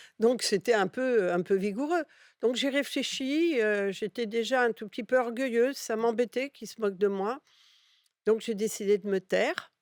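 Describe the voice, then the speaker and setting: Speech at a moderate pace with ordinary pitch variation comes through a dry, close sound with no echo on a very clean recording with a silent background. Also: woman, fairly high pitch for a woman. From Catalonia, Spain (raised in France from childhood). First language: Catalan (speaking French). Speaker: advertising executive. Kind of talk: interview.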